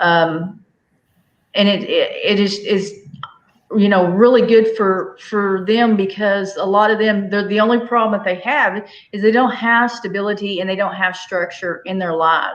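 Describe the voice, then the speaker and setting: With a Southern US accent, a woman talks at a moderate pace and fairly even intonation, with audible room echo. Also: medium pitch for a woman. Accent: US South. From Arkansas, Fort Smith. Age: 40s. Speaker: homestead livestreamer. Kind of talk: casual chat. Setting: livestream video call.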